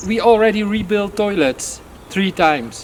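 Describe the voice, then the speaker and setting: Noticeable background noise accompanies a man whose moderate-paced speech shows ordinary pitch variation. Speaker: airsoft field owner. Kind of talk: interview. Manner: halting, many fillers.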